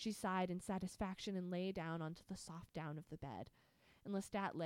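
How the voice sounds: Here is a natural reading voice. The intonation stays fairly even.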